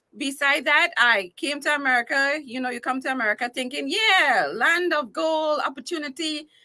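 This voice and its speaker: A woman with a Trinidadian accent speaks in a high, bright, sharp voice that is raised and projected, with ordinary pitch variation. She keeps a moderate pace with hardly any pauses. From Trinidad and Tobago. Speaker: entertainer and talk show host. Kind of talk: casual interview.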